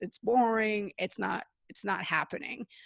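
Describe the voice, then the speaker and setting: A woman's medium-pitched voice with vocal fry, at a fairly slow pace, in a dry, close sound with no echo and a quiet background. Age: 40s. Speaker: author and storytelling coach. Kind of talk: interview. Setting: video call.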